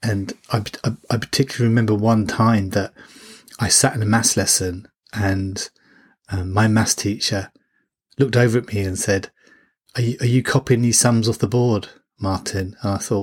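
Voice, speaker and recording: With long, frequent pauses, a man talks at a moderate pace in a medium pitch, somewhat breathy and fairly even in intonation, on a very clean recording with a silent background. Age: 40s. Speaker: parenting coach and podcast host. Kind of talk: solo podcast monologue. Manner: hesitant with fillers and repetitions.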